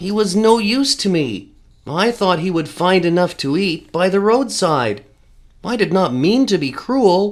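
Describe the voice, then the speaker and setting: Someone performs a put-on character voice at a middle pitch and a moderate pace. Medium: read story.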